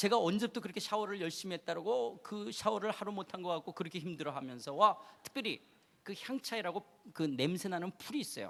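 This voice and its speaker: This man speaks at a fairly quick pace in a high pitch, his animated tone swinging very widely in pitch. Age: 50s. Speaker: preacher. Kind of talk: sermon.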